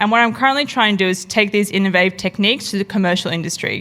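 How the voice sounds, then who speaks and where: Here is a woman with an Australian accent. Her pitch varies in an ordinary way. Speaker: product designer and researcher. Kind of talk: conference talk.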